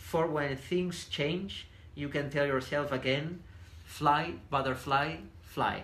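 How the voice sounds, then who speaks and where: With a Spanish accent, a man talks very slowly at a fairly high pitch, and room echo is audible. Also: ordinary pitch variation. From southern Spain. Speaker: businessman, podcast guest. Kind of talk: reading aloud. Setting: Facebook live videocast.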